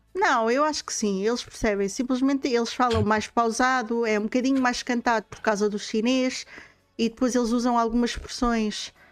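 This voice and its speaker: A woman talks at a fairly high pitch. Her intonation stays fairly even. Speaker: streamer and podcast host. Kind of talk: casual chat. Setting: live stream. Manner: fast.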